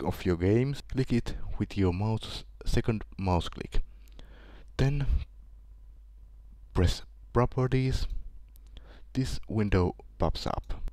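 In a very clean recording with a silent background, a man with a Finnish accent speaks very slowly at a medium pitch, his dark, mellow tone showing ordinary pitch variation between long, frequent pauses. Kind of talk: screen-recorded software tutorial.

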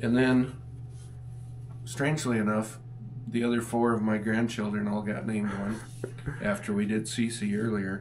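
A man with a fairly low voice speaks at a moderate pace in a monotone, flat way. Long, frequent pauses break up his speech over light background noise. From South Dakota. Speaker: farmer and rancher. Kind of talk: casual chat. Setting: outdoors on the farm. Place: office. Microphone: camera far.

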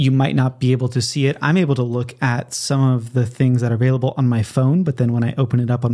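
A man talks very fast at medium pitch. His tone is dark and mellow, and somewhat breathy. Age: 30s. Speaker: podcast host. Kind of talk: solo podcast monologue. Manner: casual with frequent fillers.

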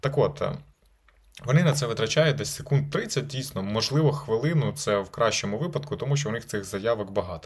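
Talking at a fairly quick clip, this man has a fairly high, somewhat breathy voice and lively intonation. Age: 20s. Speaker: lawyer. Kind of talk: video blog advice talk. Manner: casual.

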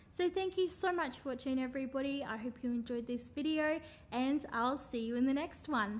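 A woman speaks in a high pitch with ordinary variation and a bright, sharp tone. Light background noise is audible. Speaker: vlogger. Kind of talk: casual vlog chat and roleplay acting. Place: home room. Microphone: phone near.

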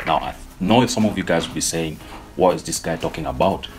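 Against noticeable background noise, a man talks with ordinary pitch variation. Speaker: forex trader vlogger. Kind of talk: casual vlog chat. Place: home room.

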